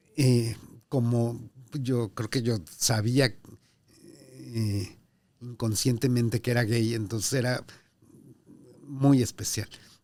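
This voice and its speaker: A man in a Mexico City accent speaks very slowly with long, frequent pauses, a medium pitch, a dark, mellow tone and fairly even intonation. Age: 60s. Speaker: diplomat. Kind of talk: interview. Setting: in person at consulate office.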